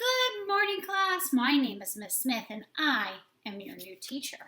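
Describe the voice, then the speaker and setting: Putting on a character voice, a woman talks at a fairly slow pace in a high pitch, with very wide pitch swings and big swings in loudness. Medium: read story. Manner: calm, friendly.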